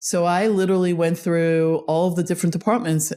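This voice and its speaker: A woman speaks with a Long Island accent at a fairly low pitch. The recording is very clean, with a silent background. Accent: Long Island New York. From Long Island, New York. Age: 60s. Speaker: fintech executive and consultant. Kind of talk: interview. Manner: animated.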